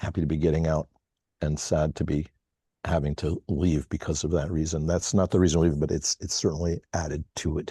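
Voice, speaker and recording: A man talks at a fairly quick pace in a very deep, low pitch with monotone, flat intonation and a dark, mellow, somewhat breathy tone. The sound is dry and close with no echo over a quiet background. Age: 60s. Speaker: community call participant. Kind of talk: casual chat. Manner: halting, many fillers.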